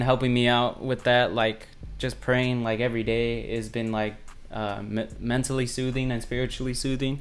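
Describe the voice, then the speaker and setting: Music plays in the background, and the room echo is audible. The delivery is at a fairly slow pace with monotone, flat intonation. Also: man. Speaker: beat producer. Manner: casual, rambling with fillers; mumbling.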